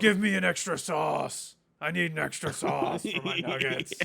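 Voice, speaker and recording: A man's raspy, put-on character voice, high in pitch, at a moderate pace. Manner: commanding, demanding.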